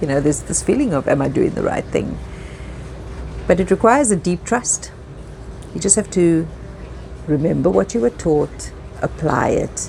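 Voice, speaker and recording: A woman speaks at a moderate pace with long, frequent pauses amid noticeable background noise. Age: 50s. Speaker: yacht stewardess and storyteller. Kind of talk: personal story narration. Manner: reflective.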